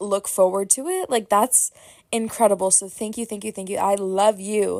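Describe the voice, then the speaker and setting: On a very clean recording with a silent background, a woman speaks at medium pitch in an animated tone. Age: 20s. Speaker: podcast host. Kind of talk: casual chat.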